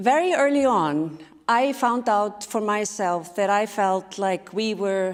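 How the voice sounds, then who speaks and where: A woman speaks at a medium pitch in an Icelandic accent. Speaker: speaker and sustainability leader. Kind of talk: conference talk.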